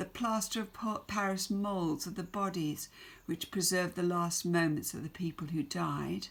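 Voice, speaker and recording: A woman with an English accent speaks at a medium pitch. Her pace is fairly slow and her intonation fairly even. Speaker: secondary school English teacher. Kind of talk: recorded remote lesson.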